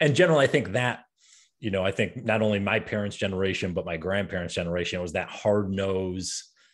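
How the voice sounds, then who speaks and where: Over a quiet background, a man with an American accent talks at a very fast pace, his fairly low pitch showing ordinary variation. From upstate New York. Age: 30s. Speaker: podcast host and coach; podcast host, coach. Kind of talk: interview. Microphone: studio mic.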